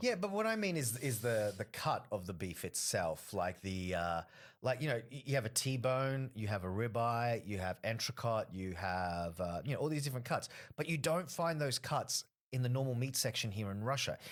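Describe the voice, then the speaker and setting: A man with an Australian accent, medium pitch and lively intonation. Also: moderate pace, very clean recording, silent background. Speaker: stand-up comedian. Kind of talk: casual podcast interview talk.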